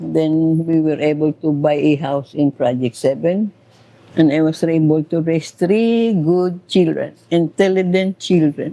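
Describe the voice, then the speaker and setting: A woman with a Visayan accent speaks at a fairly slow pace with a very deep, low pitch and a dark, mellow tone. Her pitch variation is ordinary and her loudness very even. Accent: Visayan Filipino English. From Philippines, Negros Oriental. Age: 80s+. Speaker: elderly interviewee. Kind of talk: casual interview chat. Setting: at a home.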